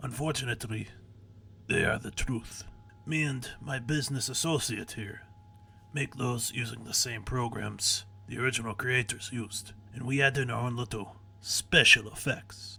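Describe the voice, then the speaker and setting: A man puts on a raspy character voice with a strong Russian accent, medium in pitch and fairly even in intonation. He speaks at a moderate pace over clear background noise. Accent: very thick Russian. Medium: read story. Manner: calm, menacing.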